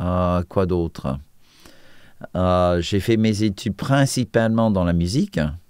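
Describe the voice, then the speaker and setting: A man with an American accent, very deep and low in pitch, at a very slow pace with ordinary pitch variation, the sound dry and close with no echo on a very clean recording with a silent background. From US, Washington D.C. suburbs. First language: English (speaking French). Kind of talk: testimony interview. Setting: TV studio. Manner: hesitant, many fillers.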